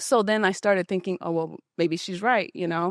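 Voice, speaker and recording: A woman with an American accent speaks at a fairly low pitch with ordinary pitch variation, on a very clean recording with a silent background and a dry, close sound with no echo. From Utah, US (Ogden). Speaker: gym member sharing personal story. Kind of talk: interview testimony. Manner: loud.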